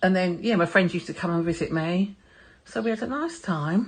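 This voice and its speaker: A woman with a London accent talks at a very fast pace in a somewhat breathy voice. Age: 60s. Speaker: artist and former model. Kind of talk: interview answers.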